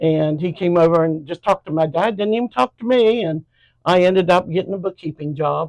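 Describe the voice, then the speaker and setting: Someone talks at a fairly quick pace in an American accent. The sound is dry and close, with no echo. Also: woman, fairly low pitch for a woman, ordinary pitch variation. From southern Ohio, US (Jackson). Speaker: church member, retired bookkeeper. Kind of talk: interview.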